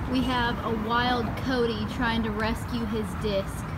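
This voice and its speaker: A woman talking at a very slow pace over loud background noise. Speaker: vlogger. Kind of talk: casual vlog chat.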